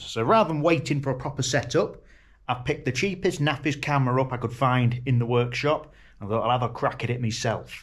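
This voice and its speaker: Somewhat breathy, a man talks at a fairly quick pace. His pitch variation is ordinary. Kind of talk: casual vlog chat. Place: workshop. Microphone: phone near.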